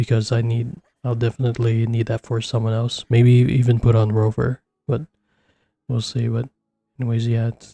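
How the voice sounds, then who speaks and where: Over music in the background, a man speaks quietly in a flat, monotone way with long, frequent pauses, the sound dry and close with no echo. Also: medium pitch for a man, moderate pace. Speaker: gaming streamer. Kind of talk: casual chat. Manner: speaking quietly.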